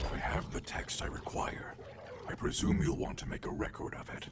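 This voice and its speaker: A man puts on a character voice at a moderate pace. Loud background noise fills the recording. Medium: video game. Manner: stiff, formal.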